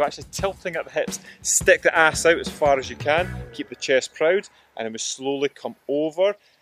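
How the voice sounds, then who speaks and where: In a Scottish accent, a man speaks with a high pitch and lively intonation. The sound is dry with no echo, and faint music plays in the background. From Scotland. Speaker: fitness coach. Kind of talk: exercise instruction to camera. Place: open country.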